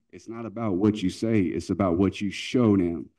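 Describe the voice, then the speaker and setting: A man with a plain, everyday voice and an American accent, fairly low in pitch, at a fairly quick pace with ordinary pitch variation. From North Carolina. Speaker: youth club leader. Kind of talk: conference talk. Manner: earnest.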